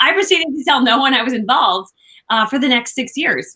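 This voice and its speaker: Loud and bright with a sharp tone, a woman speaks with lively intonation. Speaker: business coach, former network marketer. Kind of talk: interview. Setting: alone in a room, remote call. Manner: animated.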